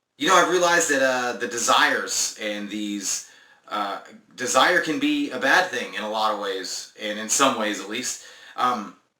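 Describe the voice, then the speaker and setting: Audible room echo surrounds a voice with lively intonation at a moderate pace. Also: man, medium pitch for a man. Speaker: spiritual self-help vlogger. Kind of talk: casual monologue vlog. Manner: halting with many fillers.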